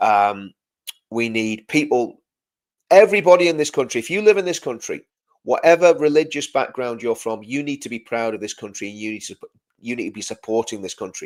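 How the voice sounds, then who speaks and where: An animated man of medium pitch talks at a fairly quick pace with very wide pitch swings and big shifts in loudness. The recording is very clean, with a silent background. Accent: English. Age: 50s. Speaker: live stream host and former soldier. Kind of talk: live stream commentary reading chat. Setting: live video stream. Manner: repetitive, stumbling restarts; animated, impassioned.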